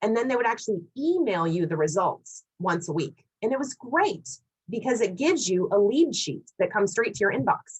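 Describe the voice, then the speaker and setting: A woman's somewhat breathy, fairly high voice with very wide pitch swings. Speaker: LinkedIn marketing speaker. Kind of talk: Q&A after presentation. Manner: fast.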